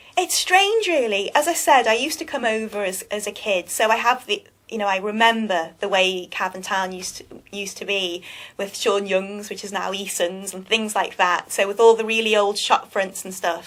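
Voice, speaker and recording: A woman speaks at a medium pitch and moderate pace, with ordinary pitch variation and big swings in loudness. The recording is very clean with a silent background. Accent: Liverpool. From England, Liverpool. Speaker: magazine publisher, business owner. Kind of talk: interview. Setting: live web TV studio. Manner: halting.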